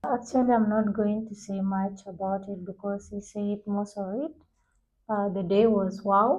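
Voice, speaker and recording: Her voice sits at a medium pitch and is somewhat breathy. The woman's intonation stays fairly even. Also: fairly slow pace. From South Sudan. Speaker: university student, debate club member. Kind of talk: casual group discussion.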